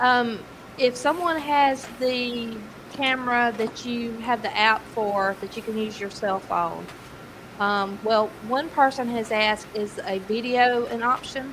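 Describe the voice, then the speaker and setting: Noticeable background noise accompanies a woman speaking at a very slow pace. Her fairly high pitch carries ordinary variation. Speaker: podcast co-host.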